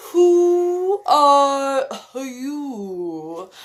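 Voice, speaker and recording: In a put-on character voice, a woman speaks at a high pitch with very wide pitch swings. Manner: languid, sleepy.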